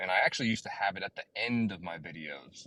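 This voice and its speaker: A man with a slight Southern US accent, fairly quick pace, lively intonation and a bright, sharp tone. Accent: slight Southern twang. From US South, southern East Coast. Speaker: crypto YouTuber and mining engineer. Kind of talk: casual interview on a live audio space. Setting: online audio space.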